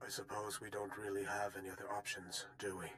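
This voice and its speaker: Over clear background noise, a raspy, put-on character voice rattles along at a very fast pace. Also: man, fairly low pitch for a man. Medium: video game. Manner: cautious.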